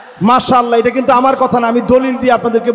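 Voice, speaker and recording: A man is speaking. Crowd noise can be heard in the background. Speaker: Islamic preacher. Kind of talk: religious sermon to a large outdoor crowd. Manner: fiery, rousing.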